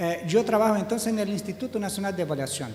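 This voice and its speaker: Audible room echo and noticeable background noise surround a man speaking with a Portuguese accent. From Brazil. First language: Portuguese (speaking Spanish). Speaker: education statistics official. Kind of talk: conference panel talk. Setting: seminar hall with audience.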